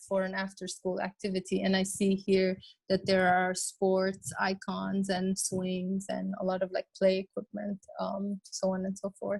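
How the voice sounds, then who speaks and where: Dry and close with no echo, a woman's somewhat breathy, medium-pitched voice moves at a fairly slow pace. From Lebanon. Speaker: designer and urbanist. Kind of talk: webinar presentation. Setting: online webinar. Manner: halting, many fillers.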